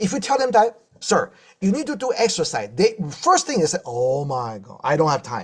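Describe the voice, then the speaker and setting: At a fairly quick pace, a man speaks in an animated tone. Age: 60s. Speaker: health speaker, doctor. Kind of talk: inspirational health talk with Q&A. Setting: live stream.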